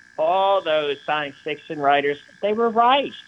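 Lively intonation from a man in a plain, everyday voice, at a moderate pace. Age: 60s. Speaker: artist. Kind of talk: interview. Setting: remote interview from his studio.

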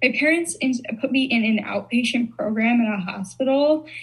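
A woman with an American accent, fairly high-pitched, at a moderate pace amid noticeable background noise. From Chicago. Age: 20s. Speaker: content creator. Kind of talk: casual chat.

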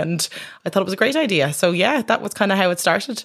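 This woman speaks very fast at medium pitch, with a Dublin accent. The recording is very clean, and the background is silent. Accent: Irish (Dublin). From Ireland, Dublin. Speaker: doctor and poet. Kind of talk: interview. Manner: halting.

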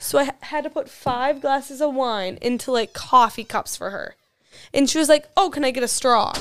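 On a very clean recording with a silent background, a woman with an Upper Midwest accent speaks at a moderate pace. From Wisconsin, near La Crosse. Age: 20s. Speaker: college student. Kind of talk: casual chat.

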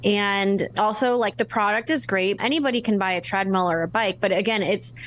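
In a quiet background, a woman with an unremarkable speaking voice talks at medium pitch with lively intonation. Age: 30s. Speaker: author and speaker. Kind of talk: interview.

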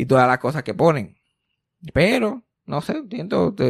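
A man's very wide pitch swings at a moderate pace. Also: quiet background. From Puerto Rico. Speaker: podcast host. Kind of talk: casual chat. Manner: animated.

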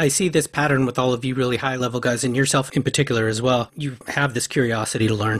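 A very fast-talking man at medium pitch, fairly even intonation and hardly any pauses. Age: 50s. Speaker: podcast host. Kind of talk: interview; scripted introduction.

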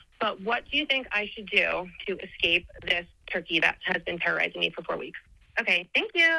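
A woman talks at a fairly quick pace with an American accent. Noticeable background noise runs under her voice. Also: big swings in loudness. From New Jersey.

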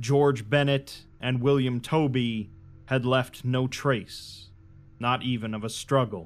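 Music plays behind a man speaking at a very slow pace. His medium pitch carries fairly even intonation. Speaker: audiobook narrator. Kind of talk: dramatic first-person horror narration read aloud. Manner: dark, brooding storytelling with rising dread; measured, deliberate pacing over long ornate sentences.

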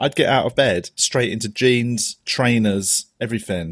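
With a London accent, a man speaks at a moderate pace and medium pitch in a dry, close sound with no echo. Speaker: comedian podcast host. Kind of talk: casual chat.

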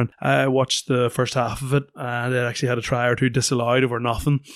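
The sound is dry and close with no echo as a man at a medium pitch talks at a very fast pace. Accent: Northern Irish. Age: 30s. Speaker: retired rugby player, pundit. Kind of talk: casual chat. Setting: studio.

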